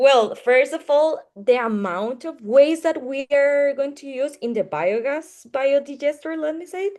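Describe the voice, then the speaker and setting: In a Spanish accent, a woman speaks at a high pitch and a fairly slow pace, with lively intonation, big swings in loudness and hardly any pauses. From Costa Rica. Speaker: engineering student presenter. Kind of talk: Q&A answer. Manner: halting.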